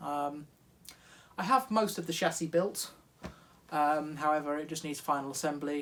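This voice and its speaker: With a British accent, a man speaks at a fairly high pitch, leaving long, frequent pauses amid audible room echo. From UK. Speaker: hobby machinist YouTuber. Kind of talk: casual workshop vlog. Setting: home garage workshop.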